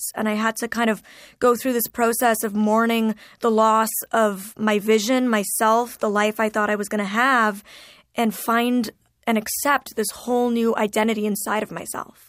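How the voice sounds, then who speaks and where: A woman speaks at a moderate pace with a fairly high pitch and a monotone, flat intonation. The recording is very clean, with a silent background. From Ontario, Canada. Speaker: YouTuber and motivational speaker. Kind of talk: interview.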